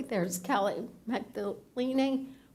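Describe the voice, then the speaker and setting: In a room with clear echo, a woman talks with a somewhat high voice whose pitch moves in a normal way. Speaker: public commenter. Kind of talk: public comment with slides. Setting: city council meeting.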